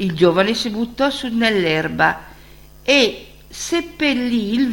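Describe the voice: Lively intonation colors this plain reading aloud.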